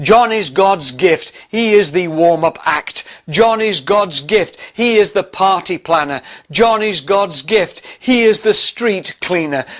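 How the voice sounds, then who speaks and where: A man with a high-pitched voice talks at a very slow pace. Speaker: pastor. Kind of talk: sermon devotional reading.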